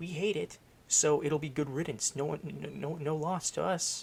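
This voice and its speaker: A man with a fairly high pitch speaks quietly, with vocal fry. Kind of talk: casual storytime talk to camera. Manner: quiet, hushed.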